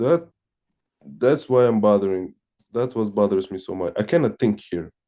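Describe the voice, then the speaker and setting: With a Russian accent, a man speaks in a fairly low pitch and a dark, mellow tone, his intonation lively and broken by long, frequent pauses. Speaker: satsang participant. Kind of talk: personal testimony in spiritual Q&A. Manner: halting, many restarts.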